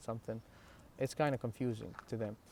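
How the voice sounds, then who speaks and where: In an Iraqi accent, the speaker uses fairly even intonation and a dark, mellow tone on a very clean recording with a silent background. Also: man. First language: Arabic. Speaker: religious vlogger. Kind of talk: personal talk to camera. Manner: halting, many fillers and restarts.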